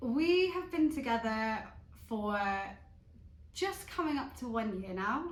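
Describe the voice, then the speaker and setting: A woman talks with lively intonation at a fairly high pitch. Room echo is audible around her voice. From southwest England, Bristol. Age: 30s. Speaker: vlogger. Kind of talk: casual chat. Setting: at home on the sofa.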